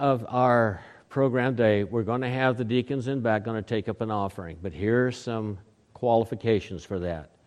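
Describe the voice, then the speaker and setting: In an American accent, an unremarkable speaking voice talks at a moderate pace with lively intonation over a quiet background. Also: man. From Oklahoma. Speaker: pastor. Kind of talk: sermon. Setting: church. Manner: folksy, conversational.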